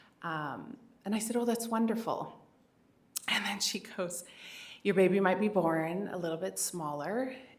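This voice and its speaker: Recorded with audible room echo, a woman speaks at medium pitch and a moderate pace, with ordinary pitch variation and long, frequent pauses. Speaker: keynote speaker and parent advocate. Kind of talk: keynote speech. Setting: stage with audience and microphone. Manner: conversational, many fillers.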